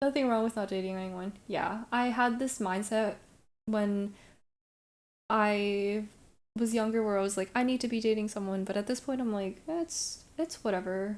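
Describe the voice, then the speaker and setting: On a very clean recording with a silent background, a woman speaks with an American accent at a moderate pace. She has an ordinary speaking voice, fairly high in pitch with ordinary variation. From Brooklyn, New York. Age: 20s. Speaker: streamer. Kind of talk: casual chat. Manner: casual, filler-heavy.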